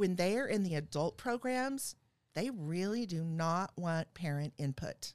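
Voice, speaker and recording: A woman with an unremarkable speaking voice, fairly low in pitch, speaks at a fairly slow pace with lively intonation on a very clean recording with a silent background. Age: 50s. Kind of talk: casual chat.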